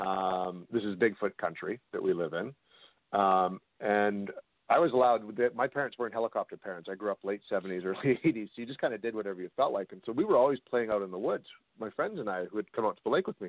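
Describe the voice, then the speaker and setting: With a western Canadian accent, a man talks at a very fast pace in a fairly low pitch, using ordinary pitch variation. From Canada, British Columbia (Kamloops). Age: 40s. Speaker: paranormal investigator and documentary director. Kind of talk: interview on a call-in radio show.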